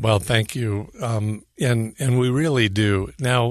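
With an American accent, a man talks in a normal speaking voice at a medium pitch against a quiet background. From California. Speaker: lighting designer. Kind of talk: radio interview.

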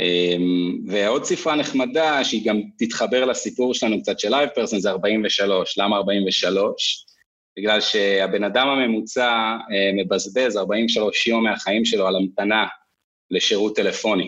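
A man speaks at a very slow pace in a fairly low pitch, with ordinary pitch variation and very even loudness. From northern Israel. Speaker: sales executive. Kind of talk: casual interview.

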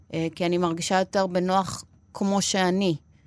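Recorded very cleanly against a silent background, a woman speaks at a moderate pace with fairly even intonation in an unremarkable speaking voice. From Argentina. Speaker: podcast host. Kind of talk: interview. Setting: studio.

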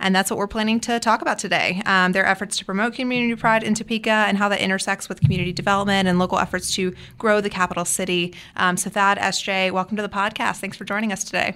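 A woman talks at a very fast pace with hardly any pauses. Her medium-pitched voice has a bright, sharp tone and fairly even intonation. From Mississippi. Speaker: podcast host, business journalist. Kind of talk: podcast interview.

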